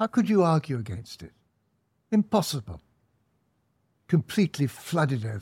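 Speaking with an English accent, a man with a fairly high, somewhat breathy voice moves at a moderate pace with long, frequent pauses, very wide pitch swings and big swings in loudness, on a very clean recording with a silent background and a dry, close sound with no echo. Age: 80s+. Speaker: author and commentator. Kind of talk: interview.

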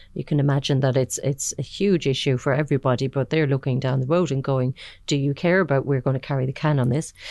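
A woman speaks at a fairly quick pace in an Irish accent, her pitch very deep and low with ordinary variation. The background is quiet. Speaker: podcast host, managing editor. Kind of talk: interview.

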